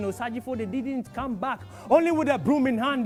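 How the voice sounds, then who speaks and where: A man is speaking. Music plays in the background. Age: young. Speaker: spoken word poet. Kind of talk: spoken word poetry performance. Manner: impassioned, pained.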